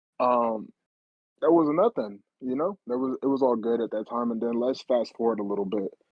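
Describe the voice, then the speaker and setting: A man's unremarkable speaking voice, medium in pitch with ordinary variation, at a fairly quick pace. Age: 20s. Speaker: podcast guest. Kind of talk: casual chat.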